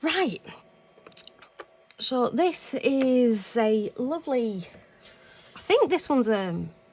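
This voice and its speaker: A woman speaks with a high pitch and very wide pitch swings, against noticeable background noise. Her pace is very slow, with long, frequent pauses. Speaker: craft YouTuber. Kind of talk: casual crafting vlog. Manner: soft-spoken; halting.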